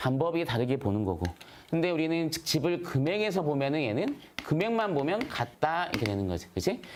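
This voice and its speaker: Audible room echo surrounds a voice with very wide pitch swings at a moderate pace. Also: man. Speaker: math teacher. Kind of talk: lecture. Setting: live stream.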